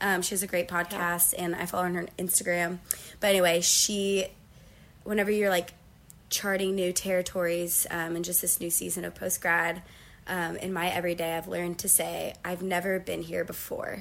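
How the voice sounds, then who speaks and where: Fairly quick speech in a monotone, flat intonation. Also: woman, fairly low pitch for a woman. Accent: Midwestern American. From Northeast Ohio, US. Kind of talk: casual interview.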